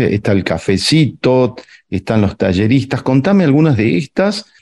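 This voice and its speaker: Lively in intonation yet very slow in pace, a man talks in a dark, mellow tone. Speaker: radio host and architect. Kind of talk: radio interview.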